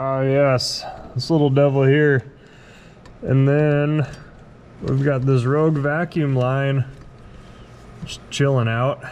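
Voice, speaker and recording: At a very slow pace, a man speaks in a fairly high pitch with fairly even intonation, and audible room echo surrounds his voice. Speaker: car restoration youtuber. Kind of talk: casual garage tutorial. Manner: slow, tentative.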